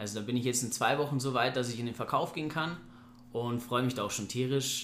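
Speaking at a fairly quick pace, a man with a medium pitch keeps his intonation fairly even amid audible room echo. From Bavaria, Germany (Ingolstadt). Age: 30s. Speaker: property investor. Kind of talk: casual interview. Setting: recorded after a seminar day.

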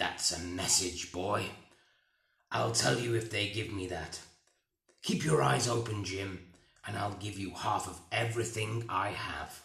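Using a put-on character voice, a man speaks at a fairly slow pace and fairly low pitch, leaving long, frequent pauses, with slight echo. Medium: read story.

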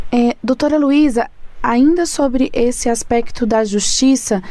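Amid noticeable background noise, a woman with a high-pitched voice speaks at a fairly slow pace. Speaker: radio podcast host. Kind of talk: radio interview hosting.

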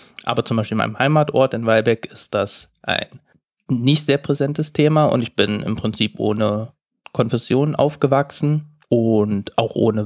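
A man at medium pitch with ordinary pitch variation, a moderate pace, an unremarkable speaking voice, and a dry, close sound with no echo. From eastern Germany, Saxony-Anhalt. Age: 30s. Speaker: management consultant. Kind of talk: casual chat.

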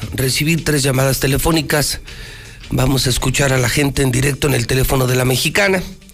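A man talks fairly quickly in a fairly high voice, his intonation fairly even, while noticeable background noise is present. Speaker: radio news host. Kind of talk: news talk show with opinion. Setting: radio studio, simulcast on TV. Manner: emphatic, repetitive.

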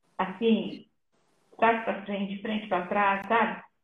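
A woman at medium pitch in a flat monotone, with audible room echo. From Brazil, raised in São Paulo (born in Minas Gerais). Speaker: missionary and nurse. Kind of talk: testimony in a live interview.

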